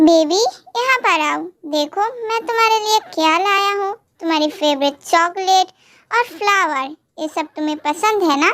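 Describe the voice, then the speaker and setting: Using a put-on character voice, a woman speaks at a moderate pace in an extremely high pitch. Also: ordinary pitch variation. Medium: audio drama. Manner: curt, commanding.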